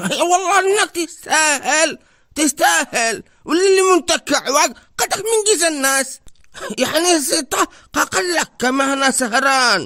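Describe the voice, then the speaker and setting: A man puts on a cartoonish character voice at an extremely high pitch. He speaks at a very slow pace. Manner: animated, teasing.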